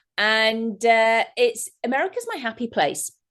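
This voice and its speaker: With an English accent, a woman talks in an animated tone at a fairly high pitch. The background is quiet. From England. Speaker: therapist. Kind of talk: interview.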